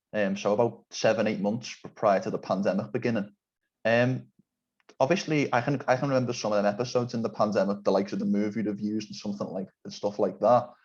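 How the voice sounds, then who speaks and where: A man at a very fast pace, fairly low in pitch, with ordinary pitch variation. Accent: Liverpool. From England, Liverpool. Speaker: podcast interviewer. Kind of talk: interview.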